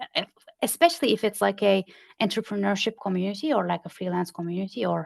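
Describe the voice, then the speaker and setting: A woman with a non-native accent speaks against a quiet background. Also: dry, close sound with no echo. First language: not English. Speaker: community consultant. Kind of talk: podcast interview.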